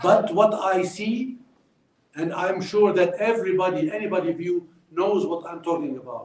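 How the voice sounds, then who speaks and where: A man with an Arabic accent speaks at a moderate pace in a high voice, his loudness swinging widely. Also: ordinary pitch variation. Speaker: former diplomat. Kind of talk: speech. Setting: stage with audience.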